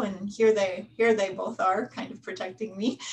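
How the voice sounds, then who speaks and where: This woman has an American accent. Her fairly high voice is somewhat breathy. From United States. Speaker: history professor. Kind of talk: panel discussion.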